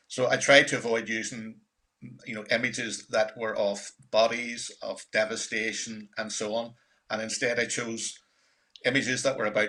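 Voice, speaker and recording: In a Northern Irish accent, a man with a medium pitch and a bright, sharp tone speaks at a moderate pace. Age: 60s. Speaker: filmmaker. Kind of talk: panel discussion.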